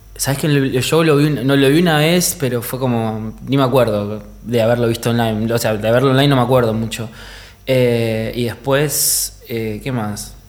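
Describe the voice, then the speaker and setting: Amid audible room echo, a man with a medium-pitched voice talks at a moderate pace with fairly even intonation. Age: 30s. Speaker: DJ. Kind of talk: casual chat.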